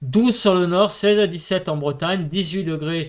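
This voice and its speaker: Over a quiet background, a man with a high pitch talks very slowly with ordinary pitch variation. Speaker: weather forecaster. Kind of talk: weather report. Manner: steady, didactic, explaining maps and figures step by step with filler words; relaxed, conversational. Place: home room.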